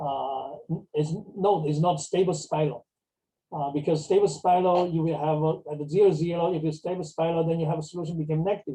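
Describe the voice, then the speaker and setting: A man's dark, mellow tone at a fairly high pitch, fairly quick pace and fairly even intonation. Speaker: mathematics professor. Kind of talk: lecture. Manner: fast; halting, many fillers.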